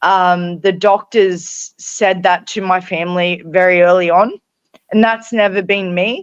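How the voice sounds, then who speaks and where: Someone with an Australian accent speaks at a fairly slow pace and fairly even intonation, in a dry, close sound with no echo. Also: woman. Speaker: author and brain injury survivor. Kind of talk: interview. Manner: halting.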